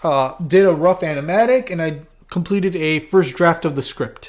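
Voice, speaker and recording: A man speaks at a high pitch with ordinary pitch variation. His pace is moderate. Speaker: animator and video creator. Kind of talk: livestream casual talk. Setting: livestream. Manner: halting, many fillers and restarts.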